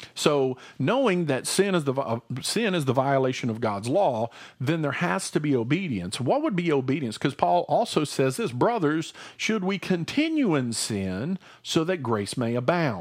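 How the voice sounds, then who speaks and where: Animated in tone, a man with a fairly high pitch talks at a moderate pace, his pitch swinging very widely. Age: 40s. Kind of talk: casual religious discussion. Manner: hesitant with many fillers.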